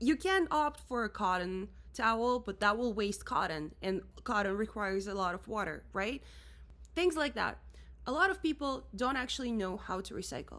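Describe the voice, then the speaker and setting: A woman talks at a moderate pace in a Russian accent. Her tone is animated. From Russia, Moscow. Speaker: musician and creative director. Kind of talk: rant vlog.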